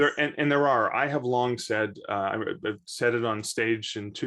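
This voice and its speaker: Against a quiet background, a man with a Canadian accent speaks at a moderate pace and medium pitch, his intonation fairly even. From Canada. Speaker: author and bookseller. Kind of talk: podcast interview. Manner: halting, many repeated words and fillers.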